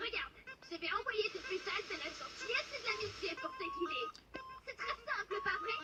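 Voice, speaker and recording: An extremely high-pitched put-on character voice at a moderate pace, with loud background noise. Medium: fan dub. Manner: sweet then suddenly vicious.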